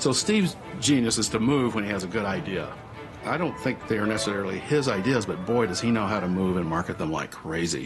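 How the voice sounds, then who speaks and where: Music plays in the background as a man with a Southwestern US accent talks at a fairly quick pace in a fairly low pitch with lively intonation. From US Southwest. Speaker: Pixar co-founder, interviewee. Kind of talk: documentary interview. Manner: animated.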